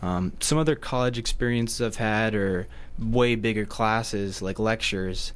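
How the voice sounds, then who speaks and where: A man with an ordinary speaking voice talks at a medium pitch with fairly even intonation. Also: moderate pace. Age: young. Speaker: college student. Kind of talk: radio interview.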